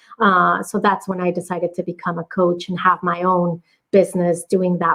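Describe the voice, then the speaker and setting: The woman talks with a Spanish accent. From Mexico. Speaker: business coach. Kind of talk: podcast interview.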